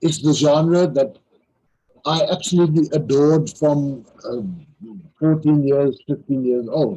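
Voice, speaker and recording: The speech moves at a moderate pace. It is delivered in a South African accent. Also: man. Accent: South African (Afrikaans) English. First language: Afrikaans. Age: 60s. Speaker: crime novelist. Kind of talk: interview. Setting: live online interview. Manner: halting, with frequent repetitions.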